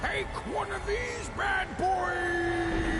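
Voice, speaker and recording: Someone shouts in a cartoonish character voice over loud background noise. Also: man. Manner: gruff, folksy.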